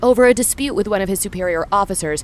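This woman has an ordinary speaking voice, pitched in the medium range, with ordinary pitch variation. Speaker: audiobook narrator. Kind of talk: audio drama narration.

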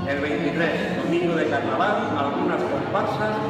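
Speech with audible room echo and clear music in the background. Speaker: event narrator. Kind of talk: narration reading commentary. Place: hall. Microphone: pa.

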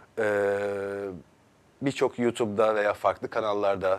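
Speaking at a fairly slow pace, a man uses a fairly low pitch. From Turkey, Istanbul. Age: 30s. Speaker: company founder; guest. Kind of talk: TV interview. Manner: hesitant, many filler sounds. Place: studio. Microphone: lapel.

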